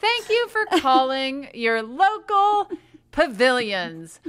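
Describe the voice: A woman speaks slowly in a put-on character voice, high-pitched and fairly bright in tone, with big swings in pitch.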